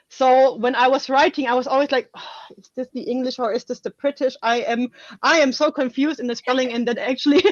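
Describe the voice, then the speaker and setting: A woman speaks at a fairly quick pace with a German accent and a high pitch. Her pitch variation is ordinary, and the sound is dry and close with no echo. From Germany. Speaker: author. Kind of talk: casual interview chat.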